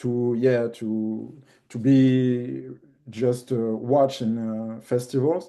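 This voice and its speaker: Over a quiet background, a man with a French accent speaks at a very slow pace, his dark, mellow tone sitting at a medium pitch with fairly even intonation. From France, Paris. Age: 50s. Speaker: documentary filmmaker. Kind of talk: interview. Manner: halting, many fillers.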